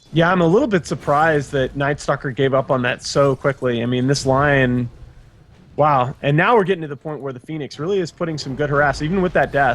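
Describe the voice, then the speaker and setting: An unremarkable speaking voice belongs to a man who talks at a fairly quick pace in a fairly high pitch with ordinary pitch variation. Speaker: esports commentator. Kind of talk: live esports color commentary. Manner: excitable.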